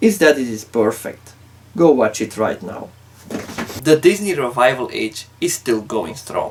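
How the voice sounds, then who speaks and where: A man's fairly high voice with a non-native accent and very wide pitch swings, over noticeable background noise. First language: not English. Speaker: YouTube film ranker. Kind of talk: video commentary.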